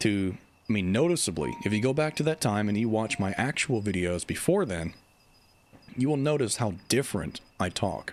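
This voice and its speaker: This man's fairly low voice swings very widely in pitch. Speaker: video game YouTuber and livestreamer. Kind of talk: casual livestream chat. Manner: stumbles over words.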